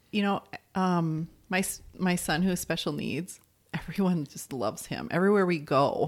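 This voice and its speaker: A woman with a plain, everyday voice speaks at a fairly low pitch with ordinary pitch variation on a very clean recording with a silent background. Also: moderate pace. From Arizona. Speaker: wife of a deaf man. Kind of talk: interview.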